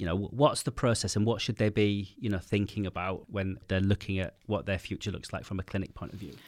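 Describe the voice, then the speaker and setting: In a very clean recording with a silent background, a man with a British accent speaks fairly quickly at a fairly low pitch with ordinary pitch variation. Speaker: podcast host. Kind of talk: interview. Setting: studio. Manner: fast.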